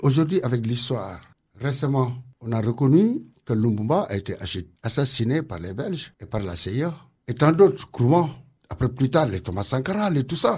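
Over a silent background in a very clean recording, a man talks at a moderate pace with a medium pitch. His dark, mellow voice is somewhat breathy, and his pitch swings very widely. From Senegal. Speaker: community centre director. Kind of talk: radio interview.

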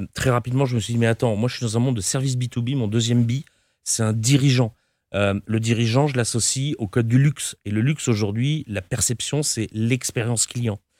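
A man speaks in an unremarkable speaking voice at a fairly quick pace, with medium pitch and fairly even intonation. The sound is dry and close, with no echo. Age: 50s. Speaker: company founder and CEO. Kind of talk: interview.

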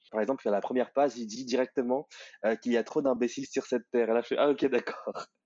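Intonation stays fairly level here. The delivery is very fast. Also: man, medium pitch for a man. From Paris suburbs, France. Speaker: reader of the book. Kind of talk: interview. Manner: hesitant.

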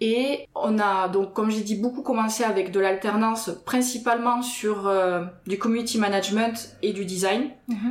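Fairly even intonation carries speech delivered at a fairly slow pace. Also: woman. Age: 30s. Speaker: web agency co-founder. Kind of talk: casual chat. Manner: halting, repeats words.

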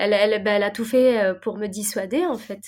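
This is an ordinary speaking voice, a woman at a medium pitch. She talks at a fairly quick pace with fairly even intonation. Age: 30s. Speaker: pastry chef and restaurateur. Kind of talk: interview.

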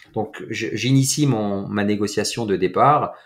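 A man's voice with ordinary pitch variation. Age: 40s. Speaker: entrepreneur and mindset coach. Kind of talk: casual interview.

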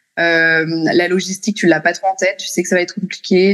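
There is noticeable noise in the background. A woman talks, her pitch varying in an ordinary way. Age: 30s. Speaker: mother and speech therapy student. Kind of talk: interview. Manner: halting.

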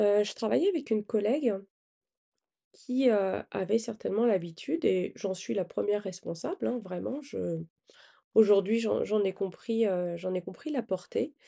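Dark, mellow tone from a woman at a medium pitch with lively intonation, fairly slow, with long, frequent pauses. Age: 40s. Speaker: life coach and podcast host. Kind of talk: motivational podcast monologue. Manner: hesitant, frequent filler 'euh'.

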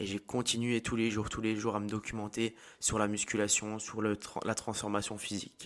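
The recording is very clean, with a silent background. A man speaks fairly quickly in a fairly low pitch, his intonation monotone and flat. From eastern France. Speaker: fitness coach and podcaster. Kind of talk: personal monologue. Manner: halting.

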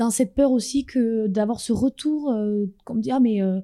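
Recorded with a dry, close sound and no echo, a woman speaks at a moderate pace in a fairly high pitch, with a dark, mellow tone and ordinary pitch variation. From France. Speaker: dancer and choreographer. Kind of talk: interview.

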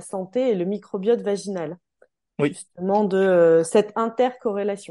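A woman with a medium pitch and a dark, mellow tone speaks at a very slow pace with ordinary pitch variation. The background is quiet. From Normandy, France (Calvados). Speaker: podcast host, naturopath. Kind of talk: interview conversation. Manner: halting, many fillers.

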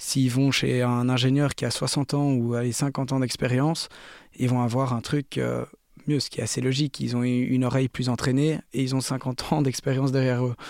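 A man at medium pitch speaks at a moderate pace with monotone, flat intonation and very even loudness. The recording is very clean, with a silent background. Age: 20s. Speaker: DJ and music producer. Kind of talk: interview. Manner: halting.

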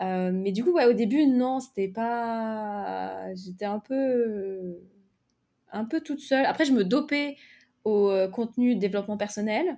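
A woman's dark, mellow voice at a fairly high pitch, very slow pace and ordinary pitch variation, in a very clean recording with a silent background. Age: 20s. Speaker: novelist and content creator for writers. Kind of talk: casual interview.

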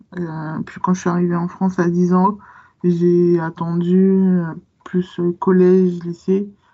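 The pace is very slow. The intonation is monotone and flat. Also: woman. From Guadeloupe, then Paris region from age 10. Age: 20s. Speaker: book influencer. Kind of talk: casual interview.

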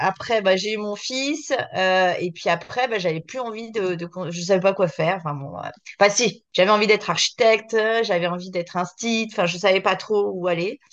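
A woman speaks at a moderate pace with a medium pitch. Her pitch varies in an ordinary way over a quiet background. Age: 40s. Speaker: entrepreneur, concept store founder. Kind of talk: casual chat. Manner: halting, many hesitations.

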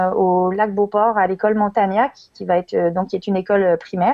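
This woman uses a medium pitch and fairly even intonation at a moderate pace. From France (Lyon), emigrated to Quebec as adult. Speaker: teacher and education network co-founder. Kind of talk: casual interview.

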